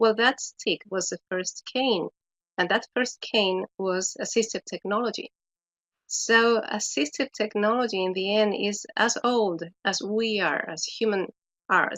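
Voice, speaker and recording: A woman talks with a Spanish accent at a medium pitch, her pitch varying in an ordinary way. She speaks at a very slow pace. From Chile. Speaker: education specialist. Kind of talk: webinar presentation. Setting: online webinar.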